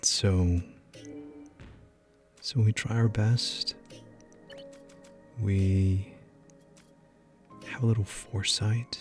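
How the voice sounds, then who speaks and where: Over music in the background, a soft-spoken man talks in a gentle tone at a fairly low pitch. He is very slow, with long, frequent pauses. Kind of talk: gaming commentary for sleep. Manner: soft-spoken, gentle.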